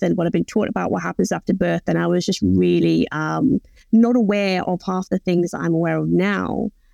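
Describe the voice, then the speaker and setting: A woman's voice with an English accent, dry and close with no echo, over a quiet background. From England. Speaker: postpartum doula and birth educator. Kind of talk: interview.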